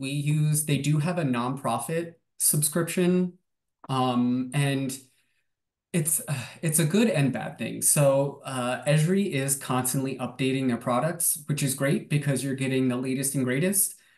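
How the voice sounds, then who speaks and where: A man speaks at a fairly slow pace and a fairly high pitch. His pitch varies in an ordinary way. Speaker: watershed association staff, presenter. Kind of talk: webinar presentation and Q&A. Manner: hesitant, many fillers.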